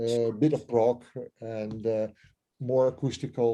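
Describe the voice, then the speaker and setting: A man's medium-pitched voice with a dark, mellow tone, fairly even intonation and a fairly slow pace. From Netherlands. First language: Dutch. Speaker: musician. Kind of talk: interview. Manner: halting, many fillers.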